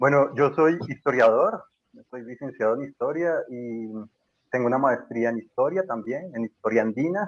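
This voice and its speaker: In a Bogotá accent, a man speaks with big swings in loudness. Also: medium pitch for a man, ordinary pitch variation, moderate pace. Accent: Bogotá Colombian (rolo). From Colombia, Bogotá. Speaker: historian and university lecturer. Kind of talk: casual podcast interview. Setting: remote call from Colombia.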